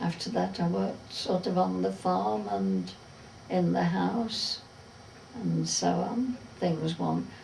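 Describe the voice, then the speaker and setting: Someone with a Derbyshire accent speaks very slowly amid noticeable background noise and audible room echo. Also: woman. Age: old. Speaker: retired farm worker. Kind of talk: oral history interview.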